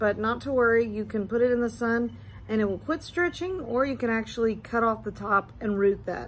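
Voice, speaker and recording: A fairly high-pitched, somewhat breathy woman's voice. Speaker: succulent grower and YouTuber. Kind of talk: tutorial. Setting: indoors in husband's mancave. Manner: casual.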